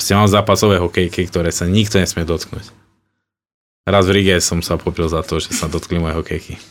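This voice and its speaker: On a very clean recording with a silent background, a man with a very deep, low pitch talks at a fairly quick pace in a monotone, flat intonation. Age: 30s. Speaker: professional ice hockey player. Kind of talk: interview.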